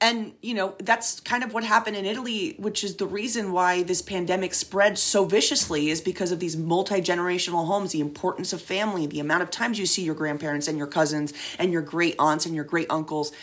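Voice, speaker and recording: A woman's medium-pitched voice at a very fast pace, hardly any pauses, ordinary pitch variation, and noticeable background noise. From Venezuela. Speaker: comedian. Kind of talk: interview.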